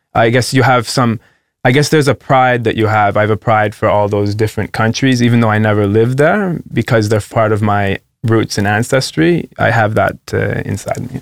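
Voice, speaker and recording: In a very clean recording with a silent background, a man speaks at a medium pitch and a fairly quick pace with ordinary pitch variation. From Canada. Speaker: nurse and traveller. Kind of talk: interview via interpreter. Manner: hesitant.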